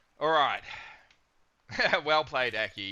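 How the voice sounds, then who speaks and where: An Australian accent marks this man's speech. His tone is bright and sharp, at a moderate pace. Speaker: video game streamer. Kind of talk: live stream chat. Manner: animated.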